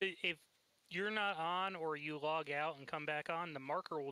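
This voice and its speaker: Here a man with an American accent speaks at a fairly quick pace. His tone is bright and sharp, with ordinary pitch variation. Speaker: gamer. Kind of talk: casual chat. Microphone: quiet volume.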